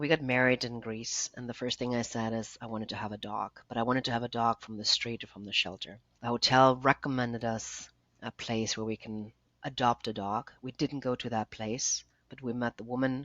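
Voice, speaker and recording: A woman with a German accent, very deep and low in pitch, at a fairly quick pace, with monotone, flat intonation and big swings in loudness. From Germany. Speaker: nonprofit founder. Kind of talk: interview.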